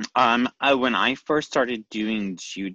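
A man speaks at a fairly slow pace in a medium pitch, his bright, sharp tone edged with vocal fry over a quiet background. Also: dry, close sound with no echo. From Nashville, Tennessee. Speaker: drag queen and costume designer. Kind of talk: casual interview chat.

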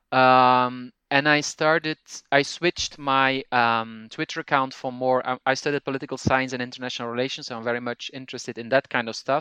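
With a Flemish accent, a man at medium pitch speaks at a moderate pace in a bright, sharp tone with monotone, flat intonation and big swings in loudness, recorded in a dry, close sound with no echo over a quiet background. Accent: Flemish Dutch-accented English. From Belgium (Flanders). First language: Dutch (Flemish). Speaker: language teacher and podcaster. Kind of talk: interview conversation. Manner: halting, frequent fillers.

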